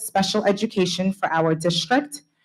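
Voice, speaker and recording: A woman speaks at a moderate pace and medium pitch. Her voice is somewhat breathy. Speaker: school principal. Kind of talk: award speech. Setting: school board meeting.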